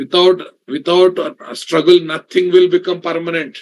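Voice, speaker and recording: With a South Indian accent, a man talks at a fairly slow pace. His pitch is high, with ordinary variation. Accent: South Indian accent in Hindi. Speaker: programming instructor. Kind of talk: online class lecture. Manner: casual, conversational with code-switching.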